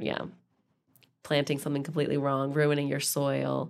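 A woman's very fast speech with an Idaho accent. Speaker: podcast co-host, wine professional. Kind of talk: casual chat.

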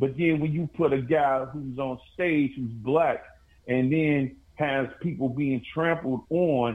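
A man with a fairly high pitch, a normal speaking voice, speaks fairly slowly with ordinary pitch variation. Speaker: rapper. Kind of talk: casual chat.

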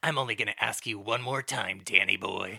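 A man puts on a raspy character voice. He talks at a fairly quick pace and a medium pitch. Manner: menacing, laying it on thick.

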